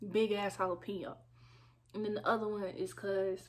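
A woman talks with vocal fry. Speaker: food vlogger. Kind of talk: casual vlog chat. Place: home room. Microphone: phone near.

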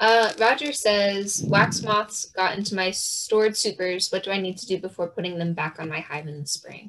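Medium in pitch, a woman's voice is an unremarkable speaking voice. Her pace is moderate, and her pitch varies in an ordinary way. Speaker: workshop co-host and question moderator. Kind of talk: reading audience questions. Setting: video call.

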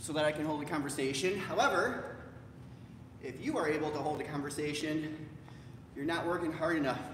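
There is audible room echo along with light background noise. A man talks with fairly even intonation. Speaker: fitness instructor. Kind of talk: workout instruction. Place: gym. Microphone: camera far.

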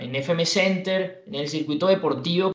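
The man's high-pitched voice echoes audibly in the room. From Venezuela. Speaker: radio announcer and sports anchor. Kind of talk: interview answer. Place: home room.

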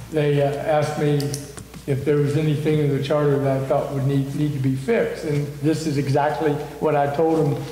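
There is audible room echo as a man speaks at a fairly quick pace. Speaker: mayor chairing a council meeting. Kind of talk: meeting discussion. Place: meeting room. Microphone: camera far.

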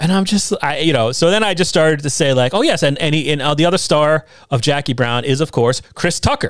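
Using a normal speaking voice, this man talks at a fairly quick pace with hardly any pauses, keeping his fairly high pitch to ordinary variation and his loudness very even. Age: 40s. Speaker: podcast host. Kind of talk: casual chat. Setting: home basement studio.

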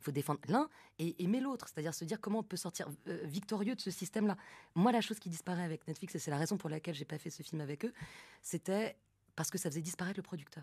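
A woman talks at a very fast pace, her voice somewhat breathy and her pitch varying in an ordinary way. The sound is dry with no echo, over a quiet background. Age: 30s. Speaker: film director; guest. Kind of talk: live radio interview. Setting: live broadcast from the festival venue. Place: studio. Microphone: studio mic.

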